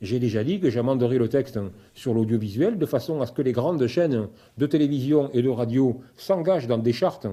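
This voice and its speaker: A man's dark, mellow voice with a southern French accent, at a moderate pace and very even loudness. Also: medium pitch for a man, ordinary pitch variation. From southern France, Sète and Roussillon (Catalan). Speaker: politician, member of parliament, law lecturer. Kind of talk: interview.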